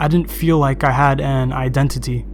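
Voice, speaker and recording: A man speaking at a moderate pace over background music. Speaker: video editor, gaming commentator. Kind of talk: gaming commentary over gameplay. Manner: monotone.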